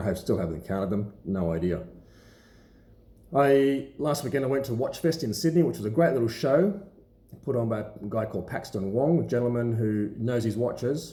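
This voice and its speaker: In an Australian accent, a speaker mumbles in a somewhat breathy voice with a dark, mellow tone and very wide pitch swings, with audible room echo. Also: man. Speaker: watch collector and seller. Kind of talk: casual vlog talk to camera. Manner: mumbling; halting with many fillers.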